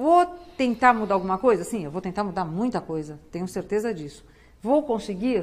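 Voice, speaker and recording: A woman speaks with a plain, everyday voice at a moderate pace. Her intonation is lively, and her loudness swings widely. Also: medium pitch for a woman. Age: 60s. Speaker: public prosecutor and political candidate. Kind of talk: TV interview.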